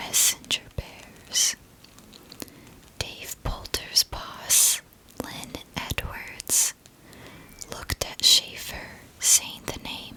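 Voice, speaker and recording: A woman whispers at a very slow pace with long, frequent pauses. Her loudness swings widely over noticeable background noise. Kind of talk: ASMR whispered history narration. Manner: whispered.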